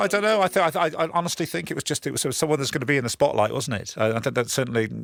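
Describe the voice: Very fast speech from a man at medium pitch, fairly bright in tone, with vocal fry and ordinary pitch variation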